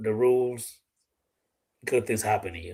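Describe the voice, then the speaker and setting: The speaker has a Dominican accent and a monotone, flat intonation at a moderate pace. The recording is very clean with a silent background. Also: man. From Dominican Republic. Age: 40s. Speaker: gun YouTuber and live streamer. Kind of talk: casual live-stream chat. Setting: live stream with a guest.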